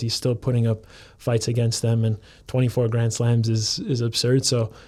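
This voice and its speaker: Speaking at a moderate pace in a Chicago accent, a man with a medium pitch uses a monotone, flat intonation and a dark, mellow tone. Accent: US Midwestern (Chicago). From Chicago suburbs, US Midwest. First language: Serbian. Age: 20s. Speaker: professional soccer player. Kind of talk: casual interview chat.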